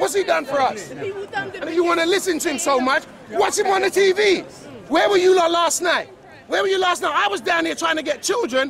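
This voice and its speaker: Crowd noise fills the background as a man talks loud and fairly quick. His tone is animated and his intonation lively. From London (Battersea), of West Indian descent. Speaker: PE teacher speaking as a local resident. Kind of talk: heated street argument. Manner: animated, repetitive.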